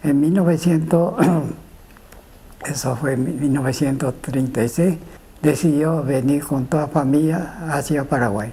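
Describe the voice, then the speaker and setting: Speech comes at a fairly slow pace with long, frequent pauses amid noticeable background noise. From Japan. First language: Japanese (speaking Spanish). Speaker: immigrant witness. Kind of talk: testimony. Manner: halting.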